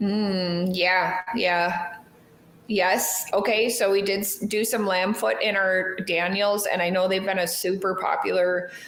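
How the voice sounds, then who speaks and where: A woman speaks at a medium pitch and a fairly slow pace, with fairly even intonation and very even loudness. The room echoes audibly, and there is noticeable background noise. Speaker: knife shop co-host. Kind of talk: live stream casual chat. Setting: live stream. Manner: mumbling.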